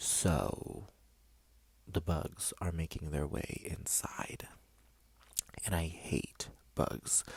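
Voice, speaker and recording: The speaker whispers at a very slow pace, leaving long, frequent pauses. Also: man. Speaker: vlogger. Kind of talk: casual chat. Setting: in a bedroom, doors open. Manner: soft-spoken.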